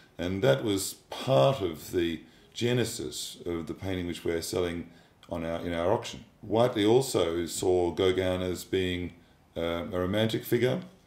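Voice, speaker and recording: A man with a very deep, low voice and ordinary pitch variation speaks at a fairly slow pace amid audible room echo. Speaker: art auctioneer / fine art specialist. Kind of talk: corporate narration / expert commentary about an artwork. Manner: measured, thoughtful, with hesitations and fillers. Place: home room.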